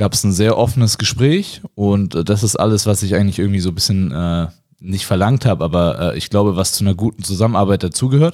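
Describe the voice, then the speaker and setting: A man speaks at a moderate pace and fairly low pitch, with a dark, mellow tone. His pitch varies in an ordinary way on a very clean recording with a silent background. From Nuremberg, Middle Franconia. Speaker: professional basketball player. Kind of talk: casual interview.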